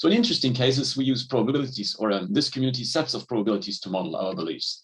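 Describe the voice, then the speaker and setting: Very fast delivery with lively intonation. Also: man, medium pitch for a man. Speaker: conference speaker, logic researcher. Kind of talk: academic conference talk.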